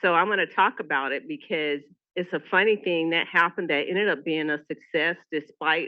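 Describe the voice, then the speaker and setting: In a Southern US accent, the speaker talks at a moderate pace. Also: woman. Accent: Southern US (Georgia). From US South, Atlanta, Georgia. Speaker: public health nurse leader. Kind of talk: conference presentation.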